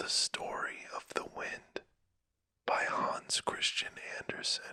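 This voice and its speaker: The voice whispers at a very slow pace. Its tone is calm. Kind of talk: casual intro to listeners. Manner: whispered, calm, soft-spoken.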